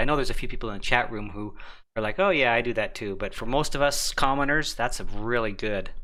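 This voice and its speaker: A man talks at a fairly quick pace in a bright, sharp tone, with audible room echo around him. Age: 50s. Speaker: ham radio live stream host. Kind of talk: casual chat. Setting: live stream.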